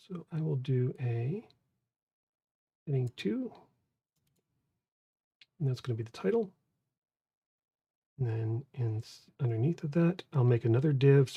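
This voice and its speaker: A put-on character voice mumbles along at a moderate pace, broken by long, frequent pauses. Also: man, medium pitch for a man. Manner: mumbling, indistinct.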